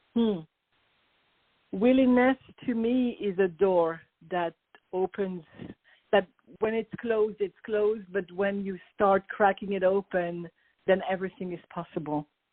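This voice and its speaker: This voice has a French accent and ordinary pitch variation. Long pauses come frequently. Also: woman, medium pitch for a woman, fairly slow pace. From France, Paris. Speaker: business coach. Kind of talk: interview.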